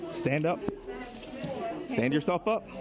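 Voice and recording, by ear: Over clear background noise, a man speaks slowly at a fairly high pitch. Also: ordinary pitch variation.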